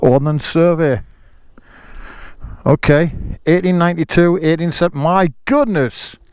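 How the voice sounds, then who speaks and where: Pausing long and often, a man speaks at a fairly slow pace in a high pitch with ordinary pitch variation. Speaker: motorcycle vlogger. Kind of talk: casual talk to camera.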